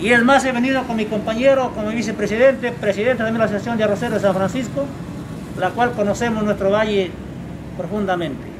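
Over noticeable background noise, a man talks at a very fast pace in a high pitch with ordinary pitch variation. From Peru, San Martín region. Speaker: rice farmers' leader. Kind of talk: public meeting speech. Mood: complaining, earnest. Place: street. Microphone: camera far.

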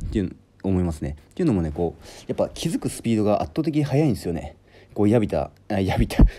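The voice has a dark, mellow tone, a very fast pace and very wide pitch swings. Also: man, fairly low pitch for a man. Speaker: gymnast. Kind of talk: talking-to-camera tutorial. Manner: casual, many fillers.

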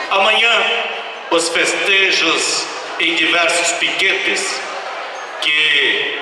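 There is strong room echo and noticeable background noise as a man speaks at a very slow pace. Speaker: event host. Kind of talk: stage announcement speech. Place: stage.

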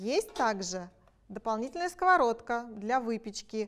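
A woman's fairly high-pitched voice. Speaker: product presenter. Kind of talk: sales pitch. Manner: enthusiastic. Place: kitchen. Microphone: lapel.

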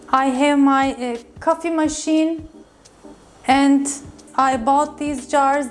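A woman, high in pitch, at a very slow pace and in a flat monotone. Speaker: video host. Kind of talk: casual kitchen tour tutorial. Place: kitchen. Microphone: lapel.

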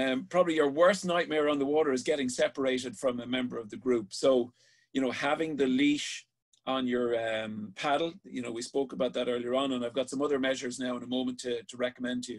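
Over a quiet background, a man talks at a very fast pace. His pitch varies in an ordinary way. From Ireland. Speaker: sea safety instructor. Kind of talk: online safety class. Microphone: webcam.

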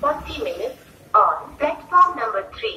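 A woman speaks with an extremely high pitch that swings very widely. Light background noise and audible room echo are present. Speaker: railway station announcer. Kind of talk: train station announcement. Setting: PA system. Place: station. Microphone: pa.

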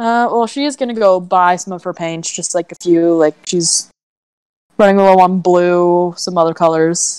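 A woman in a plain, everyday voice, fairly low in pitch, with ordinary pitch variation at a moderate pace, dry sound with no echo and a quiet background. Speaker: tabletop role-play player. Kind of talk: tabletop role-play live stream. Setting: live stream voice chat. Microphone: video call.

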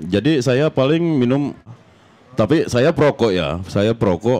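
A man at medium pitch, moderate pace and very wide pitch swings. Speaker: reggae musician. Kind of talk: casual interview.

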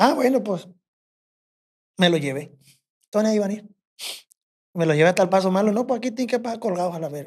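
A man's high voice at a very fast pace, lively in intonation, with long, frequent pauses against a quiet background. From Mexico, rural ranch. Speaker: bush pilot and corrido composer; podcast guest. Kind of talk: casual storytelling chat. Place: studio. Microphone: studio mic.

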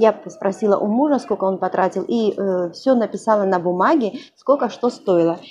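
A woman at a moderate pace, with ordinary pitch variation and light background noise. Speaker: vlogger. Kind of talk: casual vlog chat. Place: home room. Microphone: lapel.

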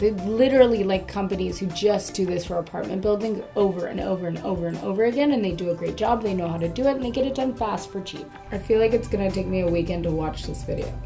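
Over clear background music, a woman talks at a very fast pace with hardly any pauses. Her pitch varies in an ordinary way. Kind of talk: reaction commentary. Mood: playful, sarcastic, judgmental. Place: home room.

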